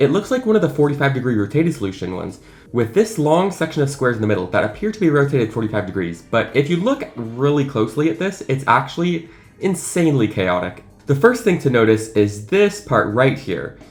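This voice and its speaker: A man's fairly high voice at a very fast pace, pitch swinging very widely, with music in the background. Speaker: math video creator. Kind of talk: unscripted casual explainer video. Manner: enthusiastic.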